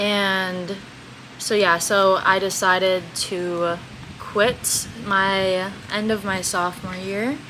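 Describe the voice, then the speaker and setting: A woman's medium-pitched, monotone, flat voice at a very slow pace, with noticeable background noise and audible room echo. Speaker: podcast co-host, college athlete. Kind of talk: casual chat.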